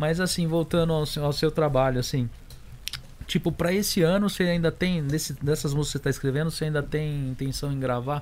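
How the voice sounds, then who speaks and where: At a fairly quick pace, a man speaks in a fairly high pitch with fairly even intonation, a normal speaking voice. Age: 40s. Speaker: podcast co-host. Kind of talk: casual interview chat.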